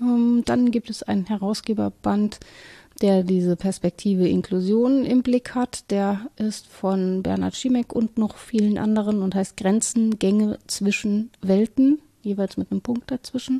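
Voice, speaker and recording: A woman with a dark, mellow, somewhat breathy tone speaks at medium pitch and a fairly slow pace with fairly even intonation, in a dry, close sound with no echo over a quiet background. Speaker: podcast co-host, academic. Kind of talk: casual conversation.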